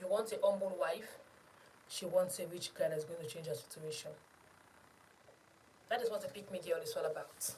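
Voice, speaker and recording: A woman speaks at a moderate pace with long, frequent pauses, and audible room echo surrounds her voice. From Sierra Leone. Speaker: YouTube commentator. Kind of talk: opinion monologue. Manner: animated.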